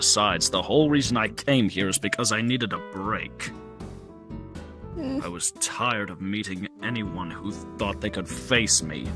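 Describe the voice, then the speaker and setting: Over clear background music, a man puts on a character voice, fairly low in pitch and at a moderate pace. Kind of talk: roleplay character acting. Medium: machinima. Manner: composed, formal, condescending yet warming.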